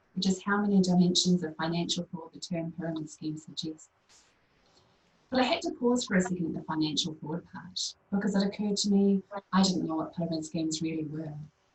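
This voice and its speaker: A woman with a strong New Zealand accent, fairly low-pitched, talking very fast with ordinary pitch variation. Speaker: poet. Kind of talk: poetry reading.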